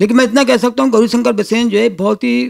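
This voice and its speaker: This man's high-pitched voice has ordinary pitch variation and a dry, close sound with no echo. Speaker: politician, election candidate. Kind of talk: interview.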